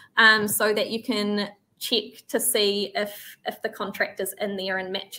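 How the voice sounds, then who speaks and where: Her voice is bright and sharp in tone, set at a medium pitch for a woman, with monotone, flat intonation. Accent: New Zealand. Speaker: farm software trainer. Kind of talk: software tutorial webinar. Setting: online webinar.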